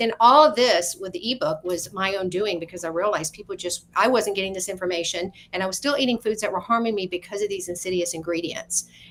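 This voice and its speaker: A woman talks at a very fast pace and medium pitch, with ordinary pitch variation. Noticeable background noise is present. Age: 60s. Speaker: wellness author. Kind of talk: radio interview. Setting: internet radio show.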